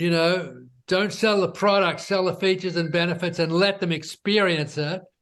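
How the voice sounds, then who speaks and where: Moderate pace, fairly even intonation and an Australian accent, set against a quiet background. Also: man. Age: 70s. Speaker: entrepreneur. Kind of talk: interview.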